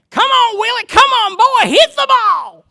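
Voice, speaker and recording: In a put-on character voice with a strong Southern accent, the speaker bellows loudly at an extremely high pitch and a moderate pace. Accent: thick Southern. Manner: loud, bellowing.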